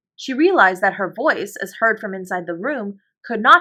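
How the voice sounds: Over a quiet background, a natural reading voice carries lively intonation.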